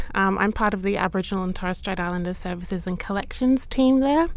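Speaking in an Australian accent, a woman uses a medium pitch with ordinary pitch variation. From Brisbane area, Australia. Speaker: library staff member. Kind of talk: interview.

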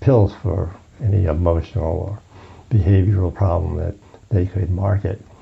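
Speaking at a moderate pace, a man with an American accent has a fairly low pitch and ordinary pitch variation. Noticeable background noise runs beneath him. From US, Brooklyn, New York. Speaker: psychologist. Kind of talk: interview conversation. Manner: hesitant, with fillers.

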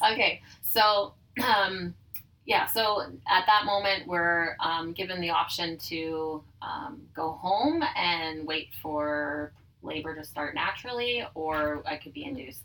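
A woman talks at a very slow pace in a fairly low voice with lively intonation. Her loudness swings widely. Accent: Manitoban. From Manitoba, Canada (Dugald, near Winnipeg). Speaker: business owner. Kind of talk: personal testimony in casual interview. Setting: in person at her tanning salon.

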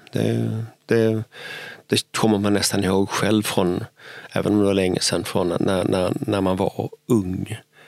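Heard with a dry, close sound and no echo, a man speaks fairly slowly at a fairly low pitch with ordinary pitch variation. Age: 60s. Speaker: city architect and podcast host. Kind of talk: casual chat. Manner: halting, repeats words.

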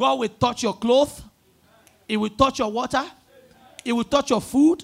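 A man speaks with a Nigerian accent in an animated tone. His pace is moderate. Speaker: preacher. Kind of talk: sermon and call-and-response prayer. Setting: church with congregation. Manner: animated, loud, rousing, repeating lines to the crowd.

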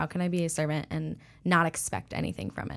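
The speaking goes along at a moderate pace. It is a plain, everyday voice. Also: woman. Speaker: church staff member. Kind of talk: casual interview chat.

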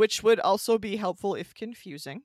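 In an American accent, a woman talks at a fairly high pitch, the sound dry and close with no echo on a very clean recording with a silent background. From US Midwest, Michigan. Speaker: podcast co-host. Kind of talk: casual chat about local ghost stories.

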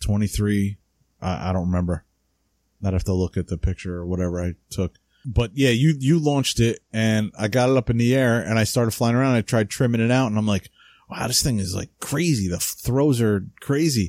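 A man with a New Jersey accent, fairly low pitch, fairly quick pace and ordinary pitch variation, in a dry, close sound with no echo. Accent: New Jersey American English. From US Northeast (New Jersey). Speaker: podcast co-host, radio-control model hobbyist. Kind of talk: casual chat. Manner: casual, slangy.

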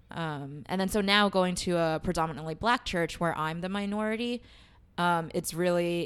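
A woman with an American accent has an unremarkable speaking voice at a fairly low pitch. She talks at a fairly quick pace with fairly even intonation in a very clean recording with a silent background. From New York City (Queens). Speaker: early childhood educator. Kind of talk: casual interview.

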